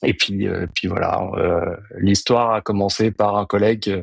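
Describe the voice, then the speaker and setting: Low-ish in pitch, a man speaks in a flat monotone. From France, early childhood on Réunion. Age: 40s. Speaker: amateur triathlete and banker. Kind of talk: podcast interview. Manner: halting, many filler hesitations.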